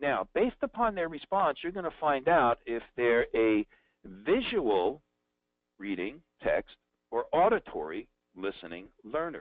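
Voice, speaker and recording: A man talks in a New Jersey accent at fairly high pitch. His pitch swings very widely. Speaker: sales trainer. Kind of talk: webinar. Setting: live online event. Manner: conversational.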